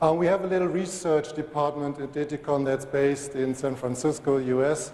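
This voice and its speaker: Over noticeable background noise and audible room echo, a man with a strong German accent speaks at a fairly high pitch with fairly even intonation. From Germany. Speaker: telecom industry speaker. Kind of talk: conference presentation.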